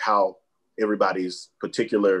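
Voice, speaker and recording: Before a quiet background, a man speaks with a Southern US accent. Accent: US South. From Alabama. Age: young. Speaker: mayor. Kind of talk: panel discussion. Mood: earnest, passionate. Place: home room. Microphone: webcam.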